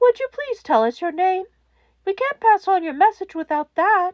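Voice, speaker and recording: Putting on a squeaky character voice, a woman speaks at a moderate pace in an extremely high pitch with very wide pitch swings. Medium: read story. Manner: soft-spoken, measured.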